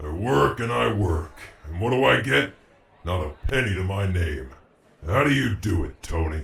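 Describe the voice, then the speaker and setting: Putting on a character voice, a man speaks at a moderate pace in a very deep, low register with very wide pitch swings and long, frequent pauses. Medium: read story. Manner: gruff, boisterous.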